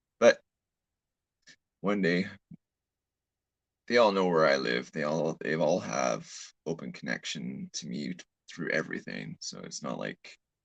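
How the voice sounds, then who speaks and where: A man with a very deep, low pitch and vocal fry talks at a fairly slow pace with lively intonation and long, frequent pauses, in a dry, close sound with no echo. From Canada. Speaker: live streamer. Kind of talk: casual live stream chat. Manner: halting, repeats words.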